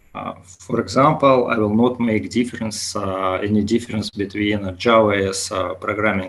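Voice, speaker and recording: With a Russian accent, a man speaks at a fairly low pitch with ordinary pitch variation. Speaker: conference speaker, big data developer. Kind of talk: lecture. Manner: slow; halting with many fillers.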